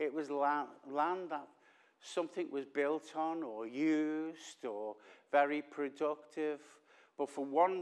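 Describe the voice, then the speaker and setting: A man with a Liverpool accent speaks at a fairly slow pace in a fairly high pitch with fairly even intonation. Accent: Liverpool (Scouse). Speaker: visiting preacher. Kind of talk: sermon. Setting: church with congregation. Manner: loud; drops voice at times.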